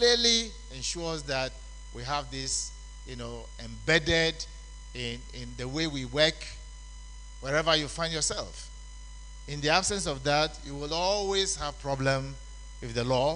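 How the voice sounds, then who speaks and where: With long, frequent pauses and big swings in loudness, a man speaks at a fairly slow pace amid audible room echo. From Ghana. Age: 70s. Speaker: conference speaker on labour law. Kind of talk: conference lecture.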